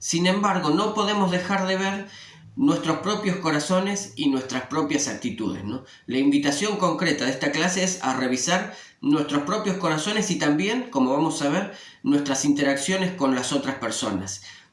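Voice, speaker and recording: Amid noticeable background noise and audible room echo, a man speaks at a moderate pace. His pitch is fairly high and his intonation lively. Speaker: religious study teacher. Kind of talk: scripture lesson. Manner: conversational with filler eh.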